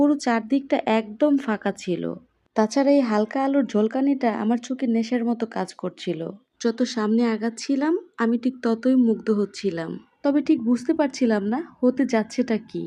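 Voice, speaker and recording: Against a quiet background, a woman with a fairly high pitch, a dark, mellow tone and ordinary pitch variation speaks. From Bangladesh, Kishoreganj. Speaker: lifestyle vlogger. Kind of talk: vlog voiceover narration.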